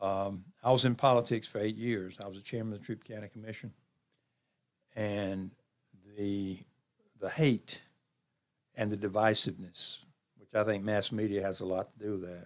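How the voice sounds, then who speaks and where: Speaking at a moderate pace with long, frequent pauses, a man with a Southern US accent keeps a fairly low pitch and monotone, flat intonation while his loudness swings widely. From US South. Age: 70s. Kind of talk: casual interview chat.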